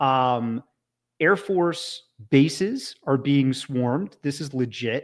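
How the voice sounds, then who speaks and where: A man with a plain, everyday voice, a Canadian accent, fairly high pitch and lively intonation, on a very clean recording with a silent background. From Canada. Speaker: podcast host. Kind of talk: casual chat.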